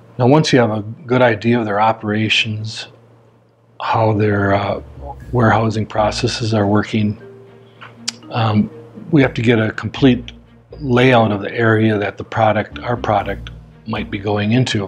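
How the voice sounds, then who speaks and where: A man speaks at a moderate pace with long, frequent pauses, his pitch fairly low and intonation fairly even. Faint music plays in the background. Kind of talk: corporate explainer to camera. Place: office.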